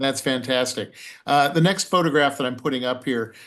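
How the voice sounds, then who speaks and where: Against a quiet background, a man with a plain, everyday voice of medium pitch speaks with fairly even intonation. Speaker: circus historian, interview host. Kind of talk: interview questions over video call.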